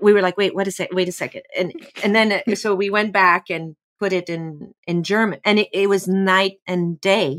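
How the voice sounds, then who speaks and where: A woman with a French accent, the sound dry and close with no echo. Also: medium pitch for a woman, fairly even intonation, moderate pace. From France. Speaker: actor. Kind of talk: casual chat.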